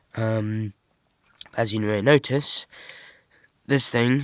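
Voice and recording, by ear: A man talks slowly at a fairly low pitch, with fairly even intonation. The sound is dry and close, with no echo.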